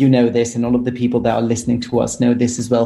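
A man talks with a British accent. His pitch is medium. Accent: near-native British English. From Italy. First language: Italian. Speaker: English teacher and teacher trainer. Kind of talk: casual interview with language tips.

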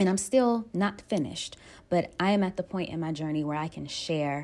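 A woman with a very deep, low pitch and an American accent shows ordinary pitch variation in a very clean recording with a silent background. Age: 20s. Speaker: nail technician and podcast host. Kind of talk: casual solo podcast monologue.

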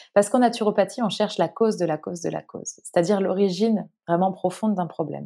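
Very fast and with fairly even intonation, a woman speaks in a dark, mellow tone with vocal fry. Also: medium pitch for a woman. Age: 30s. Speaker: naturopath and author. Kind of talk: interview.

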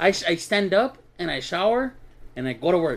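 Very wide pitch swings mark this man's speech. He talks with an American accent. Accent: slight Mexican American. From US Northeast. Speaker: podcast host. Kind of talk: casual chat. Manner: joking.

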